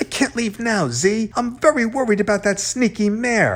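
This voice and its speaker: A man uses a put-on character voice with a high pitch, speaking at a moderate pace. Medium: read story. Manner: agitated, pushy.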